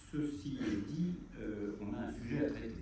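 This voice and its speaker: Through audible room echo and noticeable background noise, a man speaks very slowly at a fairly low pitch. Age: 60s. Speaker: lawyer. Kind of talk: conference talk. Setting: university lecture hall with audience. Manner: hesitant, many fillers.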